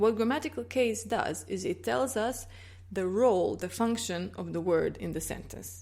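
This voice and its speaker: A woman speaks at a moderate pace. She has a Croatian accent. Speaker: language teacher. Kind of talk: tutorial. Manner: clear, explanatory.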